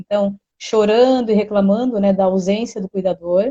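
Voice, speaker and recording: A woman talks in a fairly high voice. Her intonation stays fairly even. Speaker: therapy presenter. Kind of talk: educational live stream talk. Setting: live stream. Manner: fast.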